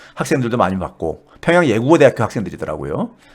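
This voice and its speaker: With a South Korean accent, a man speaks at medium pitch with very wide pitch swings. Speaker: economics professor. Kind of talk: casual storytelling talk. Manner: halting, many fillers.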